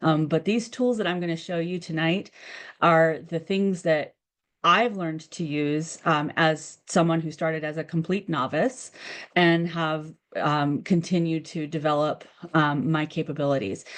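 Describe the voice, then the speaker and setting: A woman with an American accent speaks at a fairly slow pace in a fairly low voice. Her pitch varies in an ordinary way against a quiet background. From United States. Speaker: communications director, webinar presenter. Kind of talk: webinar presentation. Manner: many filler words, hesitant restarts.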